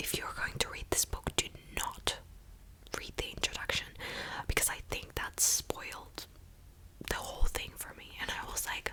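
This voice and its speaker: A woman whispers at a fairly slow pace. Noticeable background noise sits behind her. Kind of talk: ASMR whispered book haul; casual talk to camera. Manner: whispered, soft-spoken.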